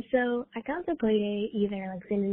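A woman talks at a moderate pace and medium pitch in an ordinary speaking voice. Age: 20s. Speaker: PhD student. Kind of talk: voicemail message. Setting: phone call.

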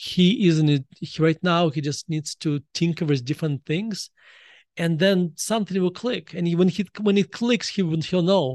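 A man's high-pitched voice with a Russian accent, at a moderate pace with ordinary pitch variation, dry and close with no echo, over a quiet background. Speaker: author. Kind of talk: casual chat.

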